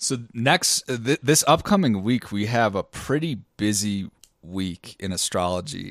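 A man with a normal speaking voice talks with lively intonation at a fairly low pitch, in a dry sound with no echo against a quiet background. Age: 30s. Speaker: podcast co-host and musician. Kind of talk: casual chat. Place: home room. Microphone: studio mic.

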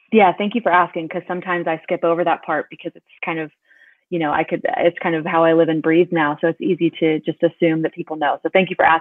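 A woman with an American accent speaks at a very fast pace in a fairly low, monotone voice with flat intonation. The sound is dry with no echo, and the background is quiet. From North Carolina. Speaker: business executive; guest. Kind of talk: interview. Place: home room. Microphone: webcam.

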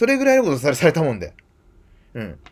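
The man talks very fast. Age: 40s. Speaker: YouTuber; video blogger. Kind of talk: monologue. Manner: halting. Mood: earnest, somewhat aggrieved. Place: home room. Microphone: webcam.

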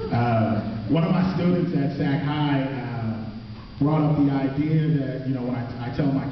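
A man speaks with fairly even intonation. The room echo is strong, and there is light background noise. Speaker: slam poet and high school theater teacher. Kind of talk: spoken word performance intro, casual talk to audience. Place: stage. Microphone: pa.

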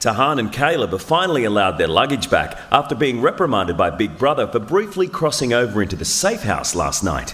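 Fairly quick male speech in an Australian accent, medium in pitch with very wide pitch swings and hardly any pauses, over noticeable background noise. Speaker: TV narrator. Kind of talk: scripted narration.

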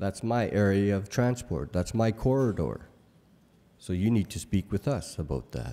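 A man with a dark, mellow tone and fairly low pitch speaks at a moderate pace with lively intonation. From Canadian high Arctic (Resolute Bay, Nunavut); Nunavut, Canada. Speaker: keynote speaker. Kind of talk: keynote speech. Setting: conference stage with audience. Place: hall. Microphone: podium.

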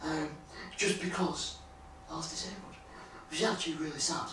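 Light background noise and audible room echo around a man talking. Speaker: former Paralympic athlete and blogger. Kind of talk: interview conversation. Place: home room. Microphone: camera far.

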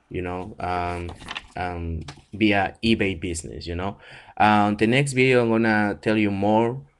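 Speaking at a fairly slow pace with a non-native accent, a man uses a fairly low pitch and ordinary pitch variation. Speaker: online seller. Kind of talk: tutorial. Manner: hesitant, many fillers. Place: home room. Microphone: webcam.

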